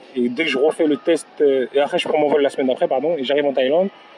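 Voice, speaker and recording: With noticeable background noise, a man speaks at a fairly quick pace with ordinary pitch variation. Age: 30s. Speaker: professional footballer. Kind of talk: interview. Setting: in person. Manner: halting.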